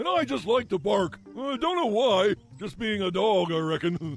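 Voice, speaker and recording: A man puts on a cartoonish character voice at a high pitch and a moderate pace. Faint music plays in the background. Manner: goofy, easygoing.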